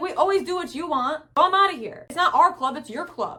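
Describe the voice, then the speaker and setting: A woman uses a put-on character voice, squeaky and extremely high-pitched, with lively intonation. She talks at a fairly quick pace, her loudness swinging widely. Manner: complaining, storming off.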